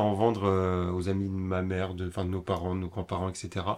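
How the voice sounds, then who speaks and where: A man with a very deep, low pitch. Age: 20s. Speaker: young entrepreneur, upcycling craftsman. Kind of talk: casual interview.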